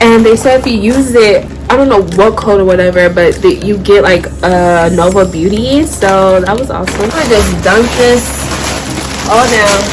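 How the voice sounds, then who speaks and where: The speech moves at a moderate pace with ordinary pitch variation, with audible room echo and music in the background. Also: woman, medium pitch for a woman. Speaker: fashion YouTuber. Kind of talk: try-on haul vlog. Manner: loud, near shouting; animated.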